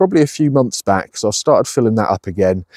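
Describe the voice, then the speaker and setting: Against a quiet background, a man with a dark, mellow tone speaks with lively intonation, the sound dry with no echo. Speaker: allotment gardener vlogger. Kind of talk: casual vlog chat. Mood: cheerful, enthusiastic. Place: garden. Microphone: phone near.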